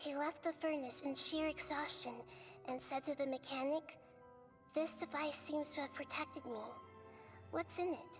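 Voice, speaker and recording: Clear music plays behind a high-pitched, put-on character voice speaking at a moderate pace. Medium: game stream. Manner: calm, measured.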